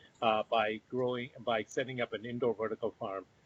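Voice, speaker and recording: A man with a plain, everyday voice talks at a medium pitch and a moderate pace. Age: 60s. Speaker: company founder and CEO. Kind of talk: virtual interview.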